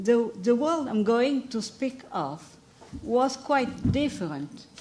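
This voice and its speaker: The speaker has a French accent and lively intonation, going at a very slow pace. Noticeable background noise and audible room echo are present. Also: woman. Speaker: historian. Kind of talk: lecture.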